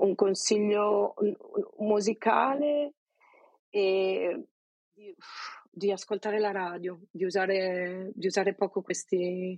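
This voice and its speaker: With a Venetian accent, a woman talks at a very slow pace with long, frequent pauses and ordinary pitch variation, the sound dry and close with no echo. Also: medium pitch for a woman. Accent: Venetian Italian. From Veneto, province of Venice. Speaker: Italian emigrant interviewee. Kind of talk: casual interview.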